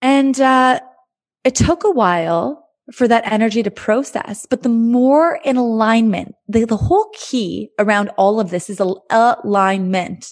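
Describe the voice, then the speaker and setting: With an ordinary speaking voice, a woman talks at a fairly high pitch and a fairly slow pace, using lively intonation and very even loudness. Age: 30s. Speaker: podcast host and life coach. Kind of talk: solo podcast monologue.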